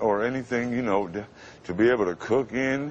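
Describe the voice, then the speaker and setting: A man with an American accent has an unremarkable speaking voice, medium in pitch with ordinary pitch variation, at a moderate pace. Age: 50s. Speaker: radio announcer. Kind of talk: TV interview answer.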